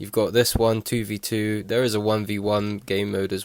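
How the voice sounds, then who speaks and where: A man speaks at a moderate pace in a fairly low, monotone voice with flat intonation. The recording is very clean, with a silent background. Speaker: gaming YouTuber. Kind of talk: casual gaming commentary. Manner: unscripted, stuttering.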